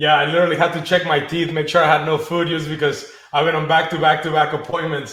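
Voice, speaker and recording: Speaking at a fairly quick pace, a man talks with a Spanish accent. His pitch is fairly high. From Mexico, Acapulco. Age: 30s. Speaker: financial services business leader. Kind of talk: interview.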